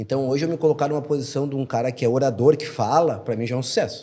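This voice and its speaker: At a very fast pace, a man talks with a dark, mellow tone, fairly high pitch and ordinary pitch variation. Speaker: real estate sales director. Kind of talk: podcast interview.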